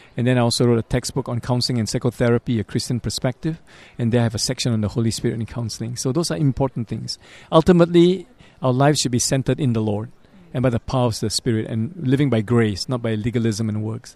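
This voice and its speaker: Over a quiet background, a man with a medium pitch and ordinary pitch variation talks at a very fast pace. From Singapore. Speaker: psychology professor and pastor. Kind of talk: interview.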